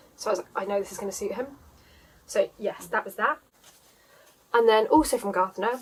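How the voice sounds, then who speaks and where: This woman has a fairly high pitch, ordinary pitch variation and a southeast English accent. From southeast England, Surrey area. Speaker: knitting podcaster. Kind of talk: casual vlog chat. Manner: frequent filler 'um'.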